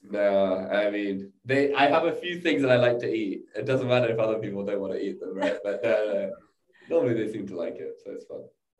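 Audible room echo carries a man's voice as he talks at a fairly quick pace with big swings in loudness. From England. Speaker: startup co-founder. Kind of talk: interview.

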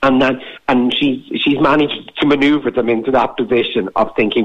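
Noticeable background noise sits behind a man speaking in an Irish Midlands accent. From Irish Midlands, County Laois. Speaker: documentary filmmaker. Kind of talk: radio interview.

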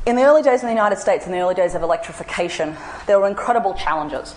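A woman speaks very fast with an Australian accent. Background noise is noticeable. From Australia (central and northern). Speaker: anthropologist. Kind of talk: public lecture.

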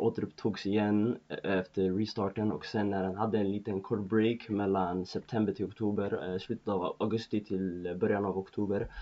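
His intonation stays fairly even as the man speaks at a moderate speed. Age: 20s. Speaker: football podcast host. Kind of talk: solo football commentary podcast. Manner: hesitant, many fillers.

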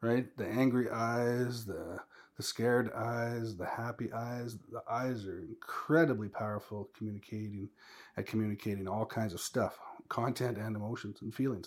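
On a very clean recording with a silent background, a man with an unremarkable speaking voice talks at a medium pitch and moderate pace with fairly even intonation. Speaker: former teacher. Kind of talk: casual chat.

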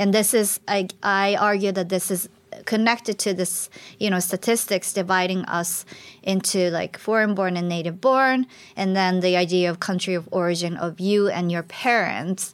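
A woman's medium-pitched voice with a Japanese accent and fairly even intonation, on a very clean recording with a silent background. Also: moderate pace. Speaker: migration researcher. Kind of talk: panel discussion.

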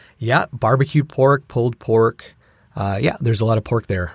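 A somewhat breathy man at medium pitch and moderate pace, ordinary pitch variation, dry, close sound with no echo, very clean recording with a silent background. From Filipino heritage, grew up in Filipino culture. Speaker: theater performer. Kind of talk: casual chat. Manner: hesitant, many fillers.

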